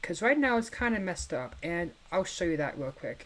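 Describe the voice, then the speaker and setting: Quiet and pitched fairly low, a woman speaks with lively intonation. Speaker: gaming video creator. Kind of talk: casual gameplay commentary. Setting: home at night, family asleep. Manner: quiet, hushed.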